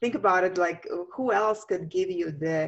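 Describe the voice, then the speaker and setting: A woman with a Latvian accent. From Latvia, Riga. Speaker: feng shui master. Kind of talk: interview. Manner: halting.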